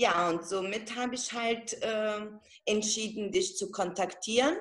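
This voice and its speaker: A woman with a fairly high pitch speaks at a very slow pace against a quiet background. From Italian-German background. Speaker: network marketing seller. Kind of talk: testimony. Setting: video call. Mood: emotional, moved. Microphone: video call.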